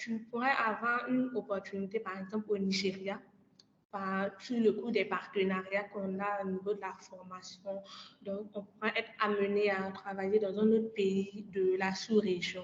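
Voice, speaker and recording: Her intonation stays monotone and flat. The woman speaks at a fairly slow pace in a medium pitch. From Côte d'Ivoire. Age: 20s. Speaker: energy master's student and climate ambassador. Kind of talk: podcast interview.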